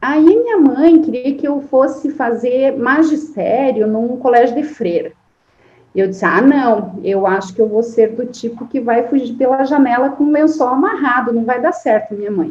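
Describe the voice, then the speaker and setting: Lively intonation and a high pitch in a woman's voice, moving at a moderate pace. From Santa Catarina interior, Brazil (near Paraná border). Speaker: forestry engineering professor. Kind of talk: interview.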